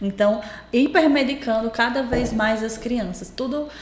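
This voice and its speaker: With a strong potiguar accent, a woman talks at a moderate pace in a fairly high pitch, amid noticeable background noise and audible room echo. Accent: strong potiguar (Rio Grande do Norte). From Brazil, Rio Grande do Norte. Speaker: pediatrician. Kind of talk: podcast interview.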